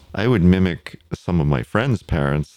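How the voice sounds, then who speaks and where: Speaking at a fairly slow pace, a man uses lively intonation. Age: 60s. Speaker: podcast guest. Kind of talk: casual interview.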